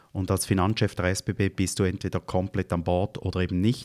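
A man's very deep, low voice comes through on a very clean recording against a silent background. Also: dry, close sound with no echo. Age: 50s. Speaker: finance executive. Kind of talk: interview.

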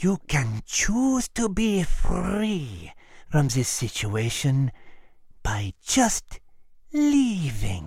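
A put-on character voice, low-to-middle in pitch, at a very slow pace. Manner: cold and menacing.

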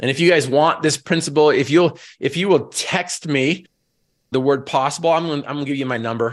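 Against a quiet background, a man with an American accent and a plain, everyday voice talks at a fairly quick pace and a fairly high pitch. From Northern Utah. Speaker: motivational speaker and Paralympic athlete. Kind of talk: motivational talk. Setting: video call. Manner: repeats words when starting sentences.

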